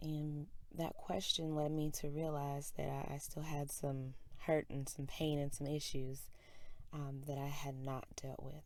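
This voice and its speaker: Quiet and monotone, a woman with a very deep, low pitch talks at a fairly slow pace in a flat intonation. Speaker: spoken word poet. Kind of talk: casual introduction.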